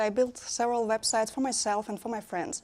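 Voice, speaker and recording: A woman with a Russian accent talks at a moderate pace in a high pitch with lively intonation. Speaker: conference speaker, web developer. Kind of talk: conference talk. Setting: stage with audience. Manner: halting.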